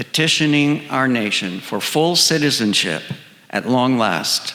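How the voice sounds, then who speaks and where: A man with an American accent speaks at a fairly slow pace, his medium-pitched voice carrying lively intonation. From Southern California. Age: 60s. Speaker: storyteller, retired choral singer. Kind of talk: personal storytelling performance.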